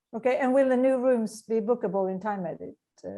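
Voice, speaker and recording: A woman with a Swedish accent talks at a fairly quick pace, using ordinary pitch variation. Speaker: meeting moderator. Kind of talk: Q&A moderation.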